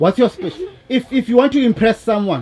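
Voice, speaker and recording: This is a man speaking. Background noise can clearly be heard. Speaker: documentary interviewer. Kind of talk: interview.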